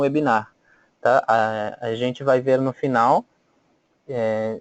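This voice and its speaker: A man talks at a fairly slow pace. The sound is dry and close with no echo, over a quiet background. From Bolivia. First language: Spanish (speaking Portuguese). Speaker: volunteer trainer. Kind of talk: webinar presentation. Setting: online webinar. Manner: hesitant, many fillers.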